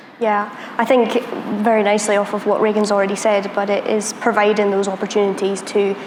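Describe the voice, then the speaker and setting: Over noticeable background noise and audible room echo, a woman speaks at a fairly quick pace in a medium pitch, her intonation flat and monotone. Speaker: security professional, panelist. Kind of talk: panel discussion.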